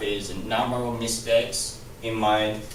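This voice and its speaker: A man's medium-pitched voice, flat and monotone, at a fairly slow pace, with noticeable background noise and audible room echo. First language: not English. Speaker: student. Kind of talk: class presentation. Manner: halting, many repetitions.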